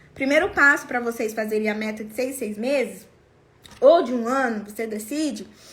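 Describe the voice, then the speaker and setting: The tone is animated. A woman keeps a moderate pace. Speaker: sales coach for lingerie sellers. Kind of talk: online class. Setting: live stream.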